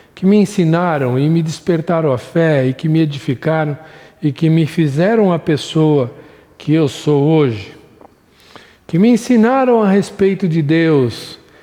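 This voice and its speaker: Speaking at a fairly slow pace, a man with a fairly high pitch and a dark, mellow tone uses lively intonation and keeps his loudness very even. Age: 60s. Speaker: Sunday school Bible teacher. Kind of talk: recorded Bible lesson.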